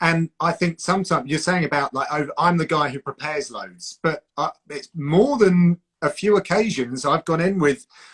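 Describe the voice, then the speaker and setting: In a Home Counties accent, the speaker goes at a moderate pace with ordinary pitch variation, the sound dry and close with no echo. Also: man. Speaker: combat sports broadcaster and commentator. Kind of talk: casual chat.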